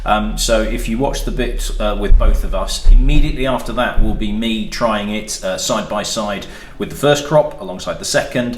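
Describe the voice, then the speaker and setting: Hardly pausing, a man talks over noticeable background noise. Room echo is audible. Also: moderate pace. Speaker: spirits reviewer and shop owner. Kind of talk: casual review chat.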